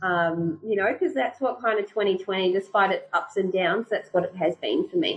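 A woman's somewhat breathy voice holds a very even loudness throughout. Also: medium pitch for a woman, ordinary pitch variation, moderate pace. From rural New Zealand. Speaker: real estate agency owner. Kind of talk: casual interview.

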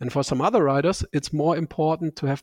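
In a very clean recording with a silent background, a man with a German accent speaks with fairly even intonation, the sound dry and close with no echo. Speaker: bike fit and saddle company expert. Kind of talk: podcast interview.

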